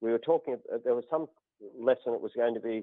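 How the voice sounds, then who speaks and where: Speaking in an Australian accent, this man has a medium pitch. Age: 60s. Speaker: natural healer turned politician. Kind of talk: podcast interview.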